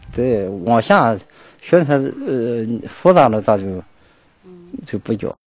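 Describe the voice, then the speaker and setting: A man's very slow speech with lively intonation, long, frequent pauses and a dry sound with no echo. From Shandong. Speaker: villager, grandson of martial artist. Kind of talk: interview reminiscence. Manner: halting. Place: street. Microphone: handheld.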